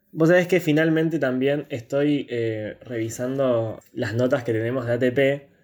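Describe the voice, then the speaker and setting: With a plain, everyday voice, a man talks at a fairly slow pace and a medium pitch, with ordinary pitch variation and hardly any pauses. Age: 20s. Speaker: podcast host, university student. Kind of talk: casual chat.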